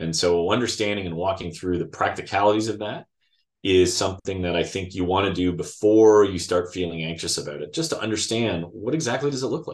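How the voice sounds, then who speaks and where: Over a quiet background, a man with a Canadian accent uses a normal speaking voice, fairly low in pitch, with ordinary pitch variation at a fairly quick pace. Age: 50s. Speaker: financial advisor. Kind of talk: interview.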